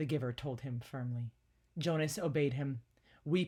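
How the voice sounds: The pitch moves in an ordinary way across this natural reading voice.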